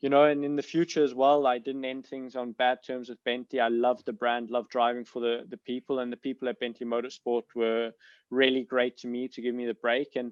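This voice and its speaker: This man has a medium pitch and monotone, flat intonation. His pace is fairly quick. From South Africa. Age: 20s. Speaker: racing driver. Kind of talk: podcast interview. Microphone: bad connection.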